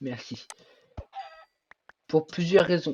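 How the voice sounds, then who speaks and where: A man's somewhat breathy voice. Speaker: gaming youtuber. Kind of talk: gameplay commentary.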